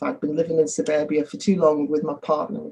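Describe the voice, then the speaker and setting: A woman with a Liverpool accent speaks in a very deep, low pitch. Her pace is fairly quick. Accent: Liverpool (Scouse). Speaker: business executive. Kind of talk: interview. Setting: video call.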